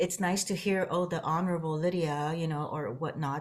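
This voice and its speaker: Soft-spoken and at a moderate pace, a woman with a fairly low pitch speaks with ordinary pitch variation on a very clean recording with a silent background. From Sudan and Guam. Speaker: city mayor. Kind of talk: interview.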